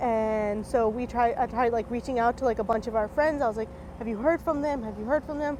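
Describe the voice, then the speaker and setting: A woman with a fairly high voice speaks at a fairly quick pace in an unremarkable speaking voice, her pitch moving in an ordinary way. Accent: American. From North Carolina (Raleigh). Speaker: county commissioner. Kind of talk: interview testimony.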